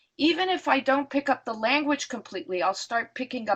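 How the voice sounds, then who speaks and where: A woman talks with a non-native accent. Her pitch swings very widely. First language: not English. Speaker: psychotherapist and professor. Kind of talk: lecture Q&A. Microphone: voice cutting in and out.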